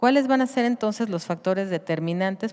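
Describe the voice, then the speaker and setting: With ordinary pitch variation, a woman talks at a fairly quick pace. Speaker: pediatrician. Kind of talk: conference lecture.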